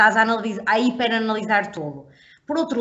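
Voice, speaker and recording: A woman's plain, everyday voice at a fairly high pitch, with fairly even intonation. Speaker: podcast co-host. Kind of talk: casual chat.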